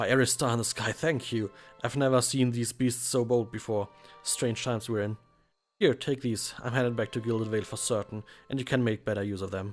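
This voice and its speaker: Music plays in the background as a man speaks with a German accent. His pace is fairly quick and his intonation fairly even. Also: medium pitch for a man. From Germany. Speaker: let's play commentator. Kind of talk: reading game dialogue aloud.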